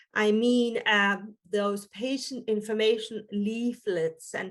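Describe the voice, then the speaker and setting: A woman with an Estonian accent, speaking at a very slow pace. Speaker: physician and hospital quality manager. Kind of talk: webinar presentation. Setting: online webinar. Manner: halting, many fillers.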